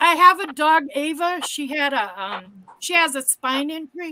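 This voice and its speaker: Projecting a raised voice at a high pitch, a woman talks fairly slowly in a bright, sharp tone, with ordinary pitch variation and big swings in loudness. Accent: American. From Massachusetts. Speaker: caller. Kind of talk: casual chat.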